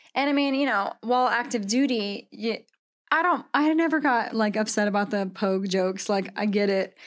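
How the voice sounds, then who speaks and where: In a very clean recording with a silent background, a woman speaks at a moderate pace with an ordinary speaking voice. Her pitch is fairly high, her intonation lively and her loudness very even. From Washington State. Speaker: Marine veteran and coffee roaster. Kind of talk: casual chat.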